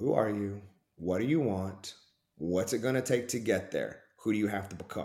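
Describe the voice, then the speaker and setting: A man with an Oklahoma accent, fairly low in pitch, with a dark, mellow tone, ordinary pitch variation and a moderate pace. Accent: Oklahoma Southern US. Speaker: performance coach and ministry background. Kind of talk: casual interview chat.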